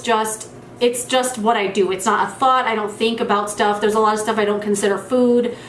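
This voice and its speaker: A woman talks over noticeable background noise. Room echo is audible. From New Mexico. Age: 30s. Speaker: beauty youtuber. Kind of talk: casual Q&A monologue.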